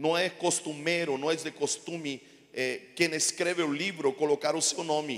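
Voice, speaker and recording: A man with a Chilean accent speaks at a moderate pace, his pitch fairly high. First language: Spanish (speaking Portuguese). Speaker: pastor. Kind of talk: sermon. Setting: church.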